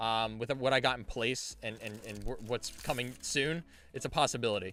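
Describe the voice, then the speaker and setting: The voice is loud, energetic and bright with a sharp tone. The pace is moderate, on a very clean recording with a silent background. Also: man, medium pitch for a man. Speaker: card game streamer and store owner. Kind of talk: live stream case opening chat. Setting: live stream. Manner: casual, energetic.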